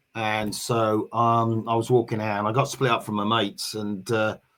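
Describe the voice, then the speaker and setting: A man with a Norfolk accent, medium pitch, bright and sharp in tone, at a moderate pace. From England, Norwich. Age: 60s. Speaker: navy veteran, football supporters group organiser. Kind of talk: casual interview. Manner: halting, many fillers.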